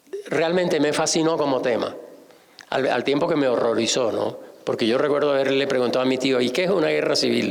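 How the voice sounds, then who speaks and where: Amid noticeable background noise and audible room echo, a man with a fairly high pitch talks at a fairly quick pace, with very even loudness and ordinary pitch variation. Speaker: novelist and art historian. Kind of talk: public conversation at book launch. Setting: museum event with audience. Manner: halting, with fillers and self-corrections.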